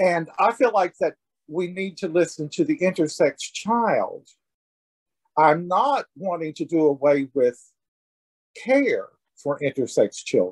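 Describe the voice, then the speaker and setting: At a fairly slow pace with long, frequent pauses, a man speaks high, with lively intonation and a dry, close sound with no echo. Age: 70s. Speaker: intersex activist, organization founder. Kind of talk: casual interview. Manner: halting.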